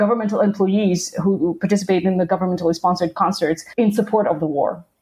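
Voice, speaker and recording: Speaking at a very fast pace, a woman talks with a Russian accent. Her voice is somewhat breathy and medium in pitch. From southern Russia (Krasnodar). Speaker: professor. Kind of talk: interview.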